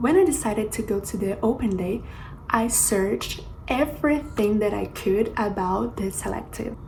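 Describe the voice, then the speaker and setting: In a Portuguese accent, a woman speaks at a moderate pace and fairly high pitch, with audible room echo and noticeable background noise. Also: ordinary pitch variation. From Brazil, Rio de Janeiro. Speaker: flight attendant, YouTuber. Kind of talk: vlog tutorial.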